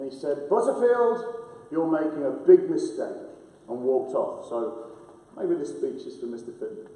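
A man with an American accent talks at a moderate pace amid audible room echo. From Lincolnshire, England (Boston). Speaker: former professional footballer, coach. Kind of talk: prize-giving speech. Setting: school hall with audience, microphones. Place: hall. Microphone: camera far.

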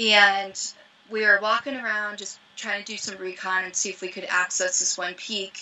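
A woman with an American accent, medium pitch and moderate pace. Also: big swings in loudness. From US Midwest (Ohio, farm). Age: 30s. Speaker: professional mountaineer. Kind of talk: casual chat. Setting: video call from her van. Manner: animated. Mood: relaxed, casual. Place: home room. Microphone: video call.

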